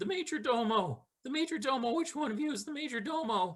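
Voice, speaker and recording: A man performs a put-on character voice at an extremely high pitch. The pitch swings very widely at a moderate pace. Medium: actual play.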